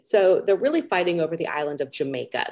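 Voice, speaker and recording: A woman speaks in a fairly low voice with a Californian accent. Her tone is dark and mellow. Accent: Californian American. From US West Coast, Los Angeles. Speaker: pirate historian. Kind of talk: interview answers.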